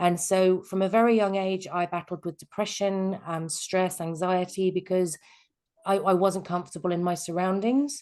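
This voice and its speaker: Speaking at a moderate pace, a woman with an English accent keeps a medium pitch and fairly even intonation. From England. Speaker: life coach. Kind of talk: webinar presentation. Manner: hesitant, many fillers.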